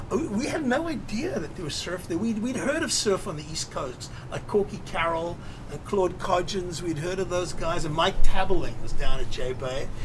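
Over noticeable background noise, a man speaks in a high voice with lively intonation. His loudness swings widely. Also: moderate pace. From South Africa. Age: 60s. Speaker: filmmaker and surfer. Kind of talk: interview. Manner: casual, rambling.

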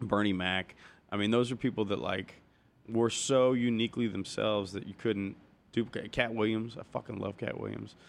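A man with an American accent uses a normal speaking voice, fairly low in pitch, with fairly even intonation at a moderate pace. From US Midwest, Cincinnati, Ohio. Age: 30s. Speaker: stand-up comedian. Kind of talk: casual chat.

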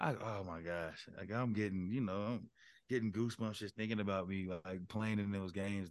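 With an American accent, a man speaks at a fairly low pitch against a quiet background. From Colorado. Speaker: former college football player, podcast co-host. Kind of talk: casual chat. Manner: animated.

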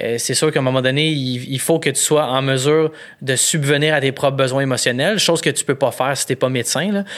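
Fairly quick speech from a man with a Quebec accent, fairly high in pitch, his intonation fairly even. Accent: Québécois French. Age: 30s. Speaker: photographer and comedian. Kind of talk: casual chat.

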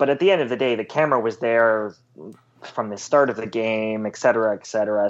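The speaker is a man with an unremarkable speaking voice at medium pitch and ordinary pitch variation. The background is quiet. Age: 20s. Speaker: sports journalist. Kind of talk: casual interview.

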